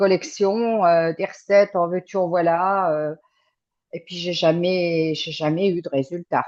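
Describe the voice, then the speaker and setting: A woman speaks fairly slowly at a medium pitch with fairly even intonation. Her loudness swings widely against a quiet background. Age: 60s. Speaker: client giving a testimonial. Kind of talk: interview testimony. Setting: remote call. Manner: halting, many hesitations.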